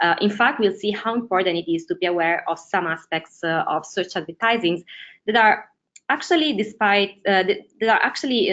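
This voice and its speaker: Speaking with an Italian accent, a woman talks at a fairly quick pace with ordinary pitch variation. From Italy. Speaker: ads strategist. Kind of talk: webinar presentation. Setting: online webinar.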